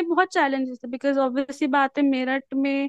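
This is a woman speaking. The sound is dry and close with no echo. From Meerut, Uttar Pradesh, India. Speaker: radio jockey, YouTuber and teacher. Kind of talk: interview.

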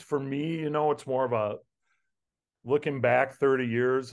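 Over a quiet background, a man with an American accent speaks fairly slowly at medium pitch in a flat monotone. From Plymouth, Wisconsin; Wisconsin. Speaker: former college football player; podcast guest. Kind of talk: interview reminiscence. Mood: reflective, nostalgic. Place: home room. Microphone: video call.

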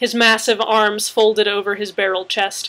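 Simple reading of a text out loud

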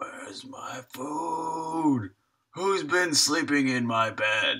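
Using a raspy put-on character voice, a man speaks at a very slow pace. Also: fairly high pitch for a man.

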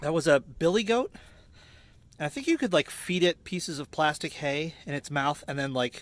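A man at a high pitch and moderate pace, with very wide pitch swings and a dry, echo-free sound. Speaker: van-life vlogger. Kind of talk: casual vlog chat. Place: open country. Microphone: phone near.

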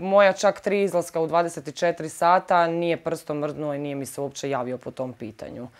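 Against a quiet background, a woman with a fairly low pitch speaks at a moderate pace, her loudness swinging widely while her pitch varies in an ordinary way. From Zagreb, Croatia; Croatia. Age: 30s. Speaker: victim of assault. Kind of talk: testimony. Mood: upset, serious. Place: home room. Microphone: lapel.

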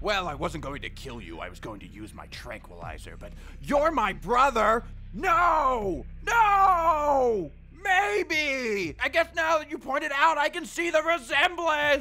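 Using a cartoonish character voice, a man talks at a fairly slow pace with music in the background. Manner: flustered, rambling, comic.

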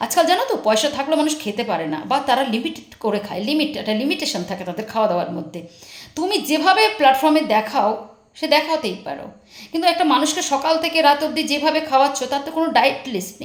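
Loud and high-pitched, a woman speaks with very wide pitch swings amid noticeable background noise and audible room echo. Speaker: YouTube commentary vlogger. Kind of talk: angry callout monologue. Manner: harsh, scolding.

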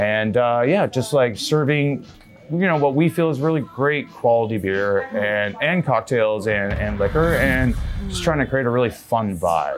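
A man talks fairly slowly while clear music plays behind him. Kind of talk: interview answer. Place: bar. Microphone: lapel.

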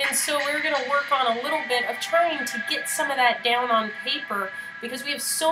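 Over clear background music, a woman speaks in a raised, projected voice with ordinary pitch variation. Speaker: art director hosting a stream. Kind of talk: live stream host chat. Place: home room. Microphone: webcam.

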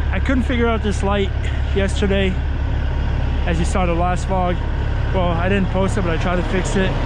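Loud background noise over a dry sound with no echo. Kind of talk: casual vlog chat. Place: car. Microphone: phone near.

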